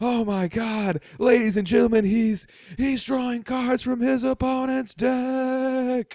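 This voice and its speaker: The speaker uses a put-on character voice with fairly high pitch. Delivery is at a fairly slow pace. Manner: fake, exaggerated announcer delivery.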